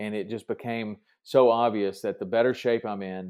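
With a Southern US accent, a man speaks at a fairly slow pace and a medium pitch. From Tennessee. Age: 50s. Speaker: fishing TV host and fitness podcaster. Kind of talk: casual interview chat.

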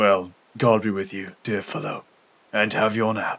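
Putting on a character voice, a man speaks fairly slowly at a fairly low pitch with little pitch movement, a fairly bright tone, a slightly husky edge and vocal fry.

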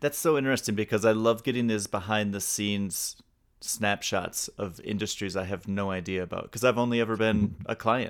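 A man with a plain, everyday voice, fairly low in pitch, speaks at a fairly quick pace with fairly even intonation on a very clean recording with a silent background. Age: 40s. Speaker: music podcast host. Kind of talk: casual interview.

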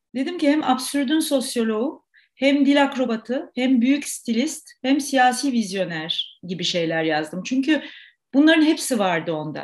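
High-pitched woman's voice at a moderate pace, quiet background. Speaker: actor, playwright and theatre director. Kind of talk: interview.

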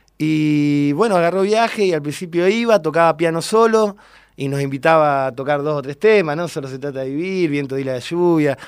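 The recording is very clean and the background silent. In a plain, everyday voice, the speaker goes at a moderate pace, with ordinary pitch variation. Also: man, fairly high pitch for a man. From Argentina, General Roca, Río Negro. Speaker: bass player. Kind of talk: radio interview.

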